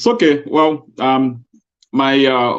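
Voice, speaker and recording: A man with a strong Liberian accent. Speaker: co-host. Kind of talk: casual chat.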